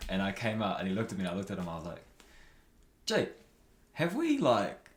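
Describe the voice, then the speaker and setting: With audible room echo around him, a man talks at a very fast pace in a New Zealand accent. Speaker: podcaster and athlete. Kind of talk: casual interview chat.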